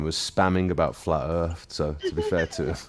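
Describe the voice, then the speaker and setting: In a British accent, a man talks at a fairly quick pace. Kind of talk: casual chat.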